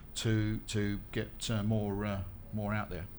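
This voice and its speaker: A man speaks with audible echo from the room around him. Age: 50s. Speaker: skincare manufacturer. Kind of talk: panel discussion. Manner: hesitant, many fillers.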